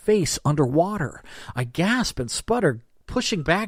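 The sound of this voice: Reading aloud, voice unforced.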